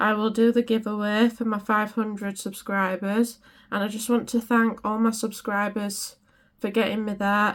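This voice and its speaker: A woman with a British accent speaks in a flat monotone at a fairly high pitch, recorded very cleanly against a silent background. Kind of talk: craft tutorial. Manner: casual, chatty.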